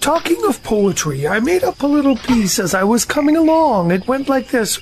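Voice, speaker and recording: A man performs a put-on character voice at an extremely high pitch. Background noise is clearly audible. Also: moderate pace. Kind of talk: audio drama performance.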